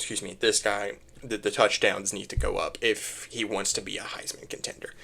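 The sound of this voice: A raspy, hoarse put-on character voice moves at a moderate pace with big swings in loudness. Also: man.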